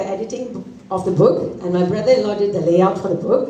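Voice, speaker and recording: Audible room echo plus noticeable background noise. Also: woman. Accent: Tamil. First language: Tamil. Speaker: author and corporate trainer. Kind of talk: book launch speech.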